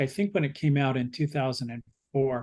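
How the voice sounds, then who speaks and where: A man with an unremarkable speaking voice talks at a fairly quick pace, his pitch fairly high for a man with ordinary variation. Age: 60s. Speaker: book club discussion leader. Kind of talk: book club discussion.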